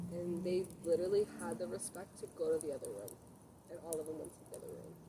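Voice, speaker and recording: The pace is very fast. Background noise is noticeable. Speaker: podcast co-host. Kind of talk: casual chat. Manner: loud.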